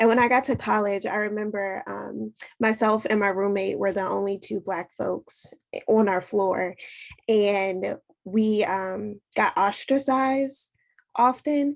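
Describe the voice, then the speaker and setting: Speaking in a plain, everyday voice, a woman with an American accent goes at a fairly slow pace, medium in pitch with ordinary variation. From Washington DC, US. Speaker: panelist. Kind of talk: panel discussion.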